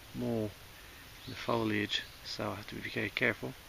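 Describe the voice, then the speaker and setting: A man speaks quietly against noticeable background noise. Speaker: hiking vlogger. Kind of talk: outdoor vlog commentary. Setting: outdoors on a mountain. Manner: quiet, kept-down voice; hesitant, many fillers.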